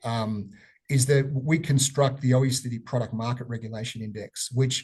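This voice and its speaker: Somewhat breathy man's voice with an Australian accent, a medium pitch, fairly even intonation and a moderate pace over a quiet background. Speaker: economist presenting research. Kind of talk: webinar presentation. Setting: online webinar. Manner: halting with many fillers.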